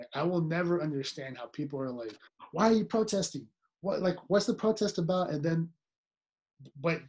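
A man with a high-pitched voice talks at a fairly quick pace. His speech is broken by long, frequent pauses. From Nicaragua. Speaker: podcast co-host. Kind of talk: serious casual discussion.

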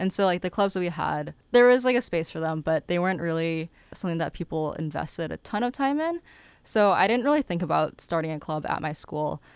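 A woman with an American accent and an ordinary speaking voice talks at a fairly quick pace with lively intonation. The sound is dry and close with no echo, on a very clean recording with a silent background. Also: fairly low pitch for a woman. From Massachusetts (Lowell). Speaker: student entrepreneur. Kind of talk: interview.

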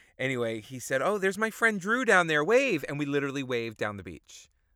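An American-accented man at a medium pitch, with very wide pitch swings, a bright, sharp tone and a fairly quick pace, on a very clean recording with a silent background. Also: big swings in loudness. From New York. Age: 40s. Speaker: theater producer. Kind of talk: casual chat.

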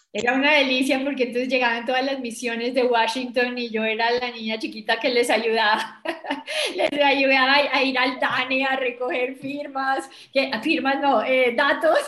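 Against noticeable background noise and audible room echo, a woman with a high-pitched voice and a Bogotá accent speaks at a moderate pace in a monotone, flat intonation. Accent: Bogotá Colombian Spanish. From Colombia, Bogotá. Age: 60s. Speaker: business executive and women's leadership advocate. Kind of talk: interview.

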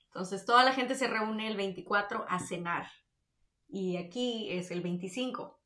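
At a very slow pace, a woman speaks in a northern Mexican accent at a medium pitch. Her pitch varies in an ordinary way, and the room echoes audibly. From Mexico, Tamaulipas (Victoria). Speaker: podcast co-host. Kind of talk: casual chat.

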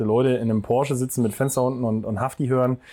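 Very fast, a man talks at a medium pitch in a dark, mellow tone. His intonation stays monotone and flat. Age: 20s. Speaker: podcast host and gym co-owner. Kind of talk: casual interview. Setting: outdoors in a garden.

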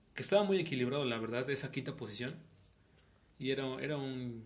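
A man with a Mexican accent, medium pitch and ordinary pitch variation. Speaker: audio engineering student and musician. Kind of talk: casual chat.

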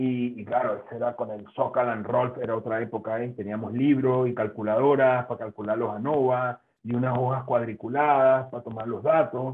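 Using a plain, everyday voice, a man talks with hardly any pauses and fairly even intonation. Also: medium pitch for a man, moderate pace. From Venezuela. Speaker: food science professor. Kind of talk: interview.

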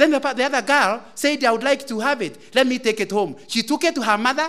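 A man's raised, projected voice sits at an extremely high pitch with a bright, sharp tone. He talks at a fairly quick pace with ordinary pitch variation. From Kenya, Central Province. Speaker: lay preacher. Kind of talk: sermon. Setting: church.

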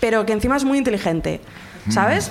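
A woman is speaking. Audible room echo and noticeable background noise can be heard. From Zaragoza, Spain. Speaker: audience member telling a story. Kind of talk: comic personal anecdote.

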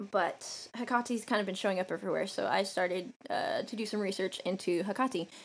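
A woman's medium-pitched voice with vocal fry and an American accent, at a moderate pace. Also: very clean recording, silent background. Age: 20s. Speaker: podcast co-host, former soldier. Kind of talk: casual chat. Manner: profane, joking.

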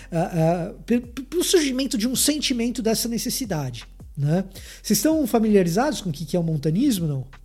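His voice is high in pitch, with a dark, mellow tone and very wide pitch swings. Audible room echo surrounds this man. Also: moderate pace. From Salvador, Bahia, Brazil. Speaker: theologian. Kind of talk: lecture.

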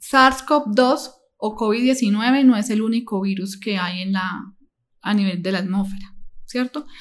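A woman speaks at a very slow pace. Her voice is fairly high and somewhat breathy. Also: ordinary pitch variation. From Colombia, Medellín. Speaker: nursing assistant and psychology student. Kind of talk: interview. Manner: halting.

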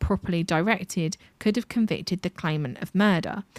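A woman with a British accent speaks in a medium pitch, her voice recorded dry and close with no echo in a very clean recording with a silent background. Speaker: podcast co-host. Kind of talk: storytelling.

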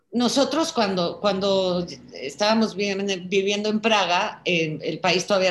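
A woman's fairly slow speech, medium in pitch, an ordinary speaking voice. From Czech Republic, raised in Prague, later Mexico. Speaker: daughter of a Holocaust survivor. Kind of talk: video call conversation. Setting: video call.

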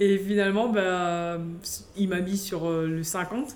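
Audible room echo surrounds a woman's voice at a medium pitch. Her intonation stays fairly even. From French Guiana. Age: 20s. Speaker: competitive swimmer. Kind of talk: interview. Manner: hesitant.

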